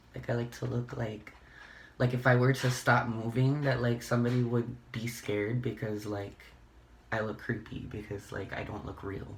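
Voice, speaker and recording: A man talks at a moderate pace in a medium pitch, somewhat breathy and monotone with flat intonation. Audible room echo surrounds his voice. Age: 20s. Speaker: beauty vlogger. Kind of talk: casual get-ready-with-me chat.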